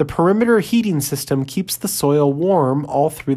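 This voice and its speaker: With an American accent, a woman speaks at a moderate pace, her dark, mellow tone carried by lively intonation. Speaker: podcast host. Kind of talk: 1950s educational film narration. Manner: stiff, brisk, clipped, authoritative, impersonal; dry and earnest, mid-century newsreel cadence.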